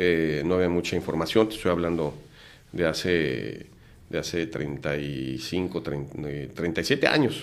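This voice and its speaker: Vocal fry runs through a man's very deep, low voice. He speaks at a very slow pace, with ordinary pitch variation. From Mexico City. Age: 50s. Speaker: lawyer and entrepreneur. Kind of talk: casual interview.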